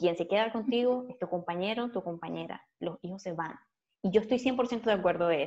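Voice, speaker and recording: A woman with a normal speaking voice, ordinary pitch variation and a fairly quick pace. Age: 30s. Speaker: podcast co-host and YouTuber. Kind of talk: casual chat.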